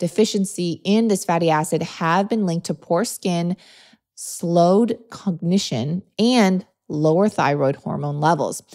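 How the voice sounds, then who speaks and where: A woman's animated, fairly low voice at a fairly slow pace, with ordinary pitch variation. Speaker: podcast host, nutrition. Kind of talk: solo podcast monologue.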